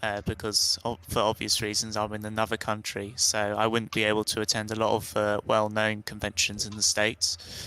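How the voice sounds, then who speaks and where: A man's voice with a British accent, bright and sharp in tone, monotone and flat, with hardly any pauses. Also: fairly low pitch for a man, moderate pace. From UK. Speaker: writer panelist. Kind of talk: panel discussion.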